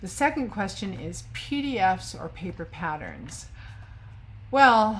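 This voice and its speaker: A woman talks at a very slow pace, her loudness swinging widely. The room echo is audible. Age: 60s. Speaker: sewing vlogger. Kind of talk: casual chat. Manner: hesitant, many fillers.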